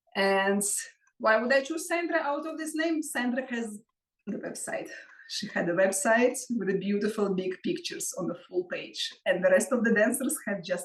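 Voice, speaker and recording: A woman with a Russian accent speaks at a moderate pace in a high voice, with very wide pitch swings and big shifts in loudness. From Russia (Moscow). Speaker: belly dance artist and teacher. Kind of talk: interview.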